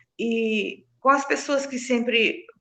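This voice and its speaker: This woman speaks with a high pitch. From Brazil, southern Bahia (Recôncavo region). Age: 60s. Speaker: nutrition technician. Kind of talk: interview chat.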